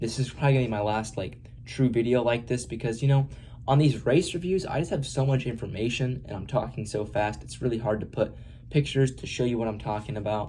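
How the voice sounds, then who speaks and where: Talking very fast, a man has a dark, mellow tone, a somewhat breathy sound and ordinary pitch variation. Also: medium pitch for a man. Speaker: motorsport YouTuber. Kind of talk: unscripted race review monologue. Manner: hesitant, many fillers.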